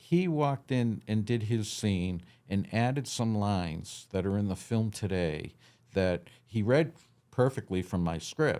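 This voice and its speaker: In a very clean recording with a silent background, a man with an American accent speaks in a dark, mellow tone with lively intonation. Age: 60s. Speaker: film director. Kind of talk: interview.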